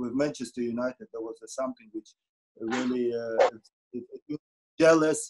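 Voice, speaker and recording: Speaking at a moderate pace, a man with a Polish accent talks at a medium pitch. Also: quiet background. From Poland. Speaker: former goalkeeper; guest. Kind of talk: casual chat. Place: home room. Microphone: video call.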